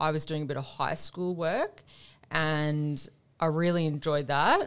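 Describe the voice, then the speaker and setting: On a very clean recording with a silent background, a woman with an Australian accent speaks with a very deep, low pitch and fairly even intonation. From Australia, Tasmania and Queensland. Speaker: air force veteran. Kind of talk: interview. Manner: articulate.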